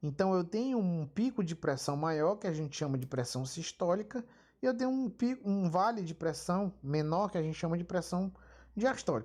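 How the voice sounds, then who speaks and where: Speech unfolds at a moderate pace. Behind it, the background stays quiet. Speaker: physiology lecturer. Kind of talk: lecture.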